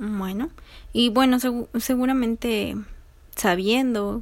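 A woman with ordinary pitch variation. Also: very clean recording, silent background. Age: 20s. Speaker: psychology student interviewer. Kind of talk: research interview.

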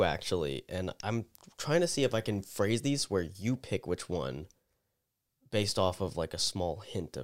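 On a very clean recording with a silent background and a dry, close sound with no echo, a man speaks at a fairly slow pace and fairly low pitch, using vocal fry, very wide pitch swings, and big swings in loudness. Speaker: podcast co-host. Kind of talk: casual banter.

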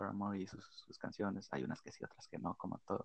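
A man speaks at a moderate pace with vocal fry. The sound is dry and close, with no echo. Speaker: podcast co-host. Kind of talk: casual chat.

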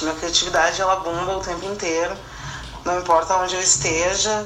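A woman talks at a moderate pace with a fairly low pitch. Noticeable background noise and audible room echo surround her voice. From southern Brazil, Rio Grande do Sul. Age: 30s. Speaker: fashion designer and illustrator. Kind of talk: interview testimony.

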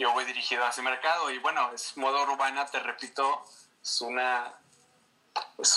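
A man with a Mexican accent, medium pitch and monotone, flat intonation, over noticeable background noise. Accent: Mexican Spanish (Jalisco). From Mexico, Guadalajara (Jalisco). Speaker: fashion designer and creative director. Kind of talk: casual interview.

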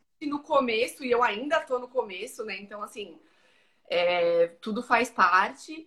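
A woman with a bright, sharp tone and a fairly high pitch speaks at a fairly slow pace, her intonation lively and her loudness swinging widely. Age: 30s. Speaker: ultramarathon trail runner. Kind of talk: casual interview.

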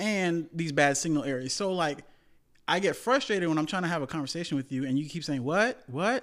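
In a very clean recording with a silent background, a man with an American accent speaks at a fairly quick pace. He has an ordinary speaking voice, fairly high in pitch, with lively intonation. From US, West Indian household. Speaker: podcast co-host. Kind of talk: casual chat.

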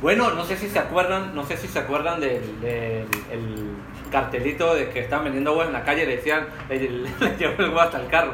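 A man's fairly high-pitched voice with lively intonation at a fairly quick pace, audible room echo and noticeable background noise behind it. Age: 30s. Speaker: podcast co-host. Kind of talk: casual chat.

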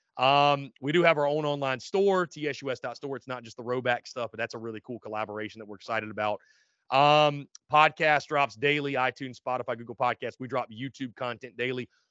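A man with a medium-pitched voice talks at a fairly quick pace in an animated tone, his loudness swinging widely. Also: ordinary pitch variation. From South Carolina, North Augusta. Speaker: sports podcast host. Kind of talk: casual chat.

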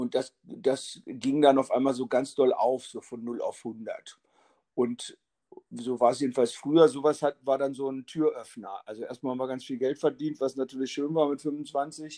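This man has a medium-pitched voice with a dark, mellow tone, speaking at a moderate pace with fairly even intonation in a dry, close sound with no echo. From northern Germany, Lower Saxony (Hannover, Braunschweig). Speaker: drummer and drum teacher. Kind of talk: casual interview. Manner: halting.

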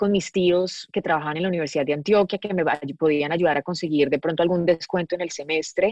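A woman has an ordinary speaking voice, fairly low in pitch with fairly even intonation. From Colombia, Medellín. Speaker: actress and producer. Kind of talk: casual interview chat.

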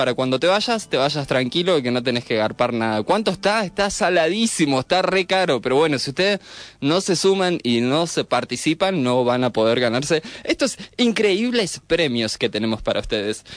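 This man's voice is fairly high. It swings very widely in pitch. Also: moderate pace. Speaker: radio host. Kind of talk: casual chat.

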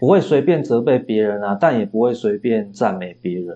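Dark and mellow in tone, a man's voice is heard. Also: quiet background. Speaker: philosophy professor and novelist. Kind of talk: interview. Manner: frequent hesitation fillers.

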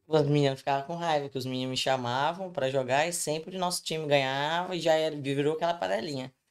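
A woman speaks at a very fast pace with hardly any pauses, her very deep, low pitch showing ordinary variation. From Brazil, Espírito Santo. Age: 20s. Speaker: podcast guest. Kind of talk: casual chat.

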